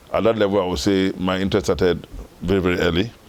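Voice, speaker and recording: This man has a very deep, low voice and talks at a fairly quick pace. Noticeable background noise runs behind him. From northern Ghana. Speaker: former football association chairman. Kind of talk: interview.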